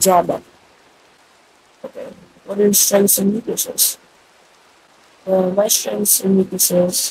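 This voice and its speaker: A man's high-pitched, monotone, flat delivery with long, frequent pauses over noticeable background noise. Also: fairly slow pace. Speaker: gaming YouTuber. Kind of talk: casual gaming video talk.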